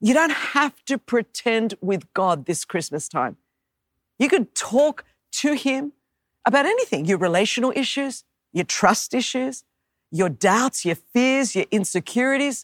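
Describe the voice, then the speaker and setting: In a very clean, dry and close recording with no echo and a silent background, a woman with an Australian accent talks at a fairly slow pace in a high pitch with very wide swings. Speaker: preacher. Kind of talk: sermon. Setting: church.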